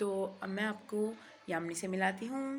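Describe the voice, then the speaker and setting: A woman with a medium pitch talks at a moderate pace in an ordinary speaking voice. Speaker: vlogger. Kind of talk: casual vlog narration. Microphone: new mic just arrived.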